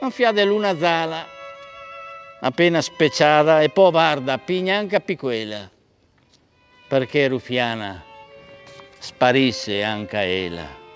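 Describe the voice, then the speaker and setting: Music plays in the background as a man speaks at a very slow pace with long, frequent pauses. His fairly high voice moves through very wide pitch swings. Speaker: stage actor. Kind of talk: poetry reading.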